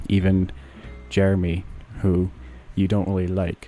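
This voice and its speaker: Music plays in the background as a man speaks at a moderate pace in a very deep, low voice. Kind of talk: comedy podcast monologue. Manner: rambling, improvised.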